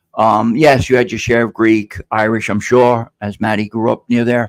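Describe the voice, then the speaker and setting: At a moderate pace, a man speaks in a flat monotone at medium pitch. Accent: New York. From New York City (Queens). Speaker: podcast host. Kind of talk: casual chat. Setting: live stream. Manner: halting, many fillers.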